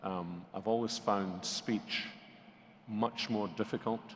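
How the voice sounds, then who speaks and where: Fairly low in pitch, a man speaks at a fairly slow pace with fairly even intonation. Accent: Scottish. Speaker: pastor. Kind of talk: interview.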